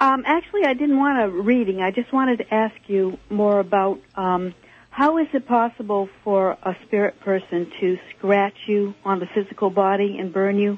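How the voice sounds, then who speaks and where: Delivered at a moderate pace with hardly any pauses, the speech comes in a plain, everyday voice with ordinary pitch variation. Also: woman, medium pitch for a woman. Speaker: caller. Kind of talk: casual chat. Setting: phone call.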